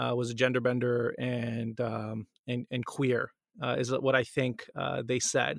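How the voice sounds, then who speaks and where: A man's bright, sharp voice at a medium pitch, dry and close with no echo, on a very clean recording with a silent background. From Canada. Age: 30s. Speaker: editor-in-chief and co-founder of a news outlet. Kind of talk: interview. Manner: halting, many fillers.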